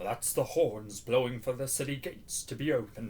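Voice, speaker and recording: Putting on a character voice, a man talks at a fairly quick pace with a medium pitch. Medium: read story.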